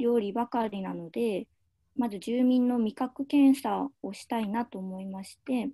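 Against a quiet background, a woman speaks at a fairly slow pace. Her pitch is fairly high and her tone is dark and mellow. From Aomori, northern Japan. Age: 20s. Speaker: nutritionist, overseas volunteer. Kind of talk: slide presentation. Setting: video call. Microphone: video call.

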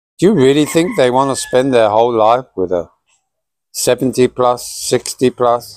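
In a British accent, a man speaks at a very slow pace with a medium pitch. The sound is dry with no echo, over a quiet background. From Britain. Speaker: vlogger. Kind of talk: casual monologue to camera. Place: garden. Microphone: phone near.

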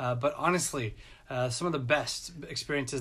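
Moderate pace from a male speaker. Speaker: college success staff. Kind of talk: personal testimony. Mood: warm, reflective, fond. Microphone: phone near.

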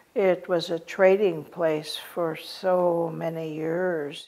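A woman's dark, mellow voice with an American accent, fairly low and monotone with flat intonation, at a very slow pace. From Oregon, Warm Springs reservation. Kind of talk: interview answer. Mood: warm, reflective. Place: home room.

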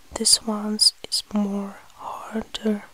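The voice has a flat, monotone intonation, heard over noticeable background noise. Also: woman. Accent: Russian. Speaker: ASMR creator. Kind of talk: ASMR eating video, soft-spoken talk to camera. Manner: soft, quiet, breathy.

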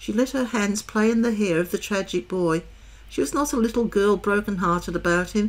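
The reading aloud is in a natural voice, with pitch that varies in an ordinary way.

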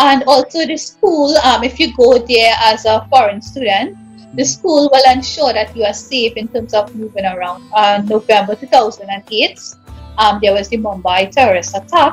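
Faint music plays behind a woman with a Trinidadian accent who speaks at a moderate pace in a fairly high voice. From Trinidad and Tobago. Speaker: English teacher. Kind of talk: interview answer. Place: home room. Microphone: video call.

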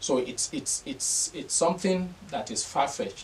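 Light background noise behind a man speaking fairly slowly with very wide pitch swings. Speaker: political analyst, TV studio guest. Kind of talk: interview answer on a political topic. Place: studio.

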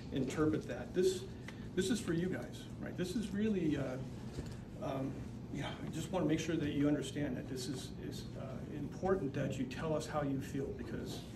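Loud background noise surrounds a man talking at a moderate pace. His pitch moves in an ordinary way. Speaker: town mayor. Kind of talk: welcome speech at public meeting. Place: meeting room. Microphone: camera far.

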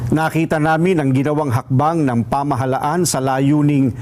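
With noticeable background noise around him, a man talks at a fairly high pitch. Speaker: statement reader. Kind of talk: formal statement reading, rally-style address. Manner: formal, solemn, measured.

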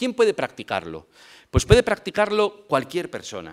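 A male speaker in quiet surroundings. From Spain, Vigo (Galicia); Galicia, Spain. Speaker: lecturer on family pastoral work. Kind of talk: lecture. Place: hall. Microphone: podium.

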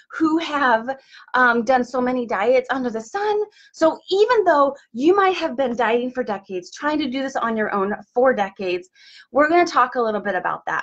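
A woman speaks in a high voice against a quiet background. Her pitch swings very widely. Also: moderate pace. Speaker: wellness coach. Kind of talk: motivational live-stream talk. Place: office. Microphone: webcam.

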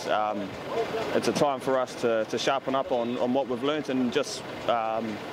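Loud background noise runs under a man whose pitch varies in an ordinary way. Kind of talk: interview answer. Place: street. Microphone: lapel.

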